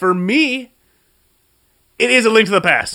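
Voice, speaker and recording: A man's raised, projected voice at a moderate pace, with ordinary pitch variation. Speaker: gaming podcast co-host. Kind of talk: casual chat.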